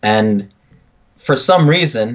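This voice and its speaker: This man speaks with a slight French Canadian accent. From Quebec, Canada. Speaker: podcast co-host. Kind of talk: casual chat.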